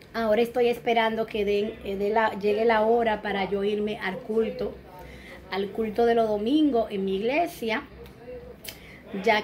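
A woman speaks at a fairly slow pace with fairly even intonation over light background noise. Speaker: home vlogger. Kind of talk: casual vlog chat. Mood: warm, relaxed. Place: home room. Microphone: phone near.

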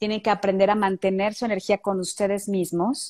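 A woman talks at a moderate speed, the background quiet around her. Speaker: tantra therapist; tantra guest teacher. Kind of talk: guided meditation; interview. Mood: calm, soft, meditative. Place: home room. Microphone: handheld.

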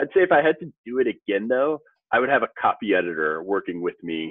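Against a quiet background, a man talks at a fairly quick pace, and the sound is dry with no echo. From US Midwest, St. Louis; US Midwest. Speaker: financial advisor and author; podcast guest. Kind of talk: casual interview. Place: office.

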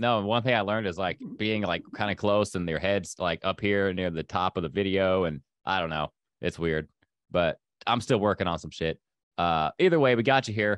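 Over a quiet background with a dry sound and no echo, a man with a fairly low pitch speaks at a moderate pace with ordinary pitch variation. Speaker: podcast host. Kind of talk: casual interview chat. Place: home room. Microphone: studio mic.

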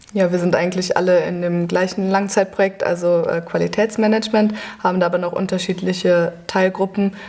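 Her intonation is monotone and flat. The woman speaks at a fairly quick pace. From western Germany. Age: 20s. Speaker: university student. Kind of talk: casual interview. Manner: hesitant, many fillers. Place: classroom.

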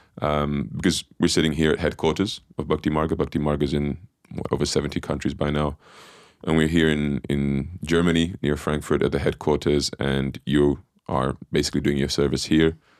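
Over a quiet background with dry sound and no echo, a man speaks at a moderate pace in a very deep, low voice with vocal fry and flat, monotone intonation. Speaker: podcast host. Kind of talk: interview introduction. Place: studio. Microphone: studio mic.

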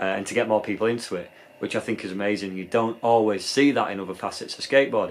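A man talks at a very fast pace. He has a British accent. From UK. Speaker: skateboarder and video creator. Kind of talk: casual vlog monologue. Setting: outdoors at skate park. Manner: casual, filler-heavy. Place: home room.

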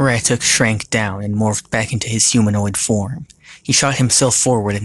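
Fairly even intonation comes through in a natural reading voice.

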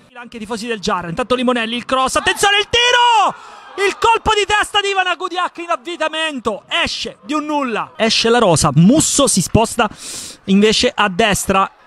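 Against noticeable background noise, a man with an extremely high pitch uses a raised, projected voice with very wide pitch swings, the sound dry and close with no echo. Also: moderate pace. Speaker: football match commentator. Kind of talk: live sports commentary. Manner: urgent, clipped calls that build up at chances.

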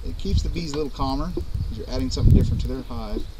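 Loud background noise fills the clip as a man talks. There is no echo, and the sound is dry. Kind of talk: casual tutorial while working. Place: open country.

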